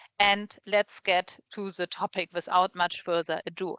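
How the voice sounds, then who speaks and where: A woman with a strong German accent, medium in pitch and bright, sharp in tone, in a dry, close sound with no echo against a quiet background. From Germany. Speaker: recruiter and webinar host. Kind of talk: webinar presentation. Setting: video call webinar.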